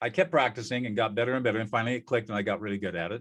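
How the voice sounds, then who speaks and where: This man speaks with an American accent at a medium pitch. His pace is very fast. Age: 70s. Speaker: peacemaker and former trial lawyer. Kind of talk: interview.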